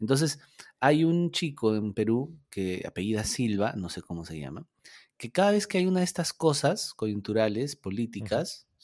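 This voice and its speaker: With a Peruvian accent, a man talks at a fairly slow pace with very wide pitch swings, in a dry, close sound with no echo. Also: very clean recording, silent background. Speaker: podcast co-host. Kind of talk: casual chat.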